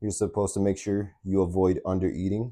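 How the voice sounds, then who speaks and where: The voice has a dark, mellow tone and monotone, flat intonation. The recording is very clean, with a silent background. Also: man. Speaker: fitness vlogger. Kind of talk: casual vlog monologue. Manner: halting, with fillers.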